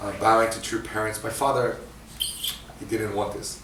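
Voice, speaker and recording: This man has a fairly low pitch and a monotone, flat delivery. Room echo is audible, and background noise is noticeable. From international upbringing, Asia, Africa, Scotland, US, Japan, Australia. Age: 40s. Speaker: guest speaker. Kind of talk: sermon testimony. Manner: halting, many fillers.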